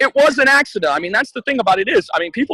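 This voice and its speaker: A man's raised, projected voice, bright and sharp in tone, animated and energetic, with a dry, close sound and no echo. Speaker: ring announcer. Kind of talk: casual podcast interview answer. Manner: animated, talkative, energetic.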